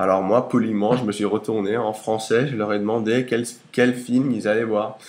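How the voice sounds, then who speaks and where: Against noticeable background noise, a man speaks at a moderate pace. His pitch is fairly low and his intonation monotone and flat. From United States. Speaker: interviewee. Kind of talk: casual interview. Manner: hesitant with fillers.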